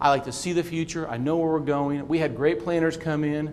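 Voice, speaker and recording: A man with an American accent at a fairly quick pace and fairly high pitch, amid audible room echo. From Kansas. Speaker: city manager. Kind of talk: conference talk. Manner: fast; repetitive false starts.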